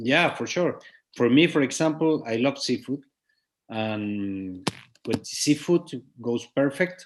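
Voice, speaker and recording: With long, frequent pauses, a man speaks at a fairly high pitch against a quiet background. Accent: Spanish. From Chile. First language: Spanish. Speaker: winemaker. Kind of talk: interview. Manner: halting.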